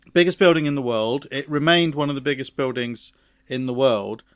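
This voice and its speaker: At a moderate pace, a man talks in a British accent. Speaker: podcast co-host. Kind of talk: casual chat.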